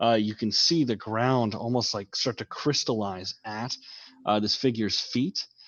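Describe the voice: Plain reading aloud is heard here, with fairly even intonation.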